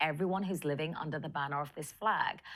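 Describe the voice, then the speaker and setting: Recorded very cleanly against a silent background, a woman speaks with ordinary pitch variation. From London, England. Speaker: film director and writer. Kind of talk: interview.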